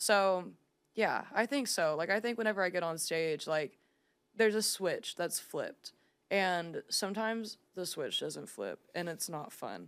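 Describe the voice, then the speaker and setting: On a very clean recording with a silent background, a woman with an American accent speaks at a medium pitch and a fairly slow pace, using ordinary pitch variation. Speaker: singer-songwriter. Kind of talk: casual chat. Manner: animated.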